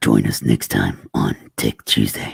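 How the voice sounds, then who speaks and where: Putting on a character voice, a man booms in a raspy, very deep, low pitch at a fairly slow pace. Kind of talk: broadcast announcer.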